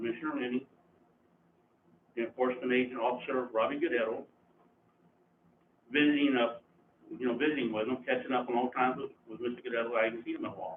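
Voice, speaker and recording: A man's medium-pitched voice with an American accent and fairly even intonation, very fast in pace, broken by long, frequent pauses. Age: 60s. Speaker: resident speaking at public comment. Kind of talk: public comment at county meeting. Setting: county commissioners court meeting.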